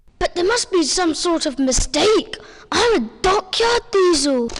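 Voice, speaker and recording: The pitch of this put-on character voice is extremely high. It moves at a fairly slow pace. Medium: audio drama.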